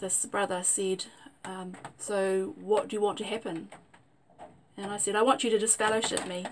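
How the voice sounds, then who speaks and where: Over noticeable background noise, a woman with a medium pitch speaks at a moderate pace. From New Zealand. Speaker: vlogger. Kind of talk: personal testimony. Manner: hesitant with fillers.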